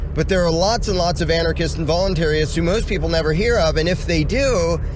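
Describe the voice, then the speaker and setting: A man talks at a very fast clip with very even loudness, his voice carrying audible room echo over noticeable background noise. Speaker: anarchist commentator. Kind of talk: rant monologue. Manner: animated.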